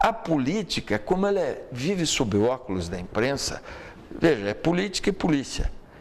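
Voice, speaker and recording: Noticeable background noise sits behind a man's fairly high voice. He talks at a moderate pace with very wide pitch swings. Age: 60s. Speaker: lawyer and political commentator. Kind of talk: talk show interview.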